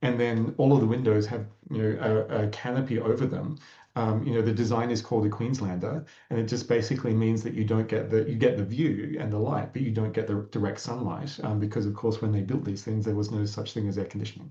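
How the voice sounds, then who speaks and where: Noticeable background noise sits behind a man with an Australian accent. He speaks very fast at medium pitch with fairly even intonation. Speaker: climate tech co-founder. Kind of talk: panel discussion.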